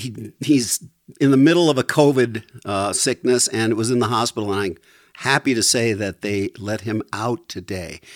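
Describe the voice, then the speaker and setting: Recorded very cleanly with a silent background and a dry, close sound with no echo, a man has an unremarkable speaking voice at medium pitch, speaking at a moderate pace with ordinary pitch variation. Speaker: musician. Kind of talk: casual chat.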